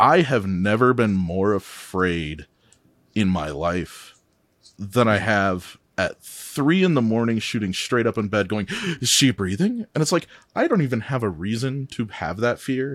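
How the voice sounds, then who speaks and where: A man with an unremarkable speaking voice, fairly low pitch, lively intonation and a fairly slow pace, on a very clean recording with a silent background. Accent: American. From US Midwest. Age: 30s. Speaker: guest, father. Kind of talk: casual chat.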